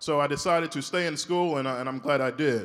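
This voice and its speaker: With an American accent, a man talks at a fairly quick pace in an ordinary speaking voice, fairly high in pitch with ordinary pitch variation. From US South, Shreveport, Louisiana. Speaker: orthopedic spine surgeon. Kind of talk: keynote speech. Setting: stage with audience.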